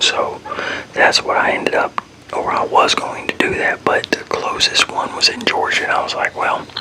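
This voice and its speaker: A man whispers at a fairly quick pace. Noticeable background noise can be heard. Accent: American. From Texas, Fort Worth. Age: 40s. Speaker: ASMR creator. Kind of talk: casual Q&A chat. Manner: whispering; rambling, self-correcting.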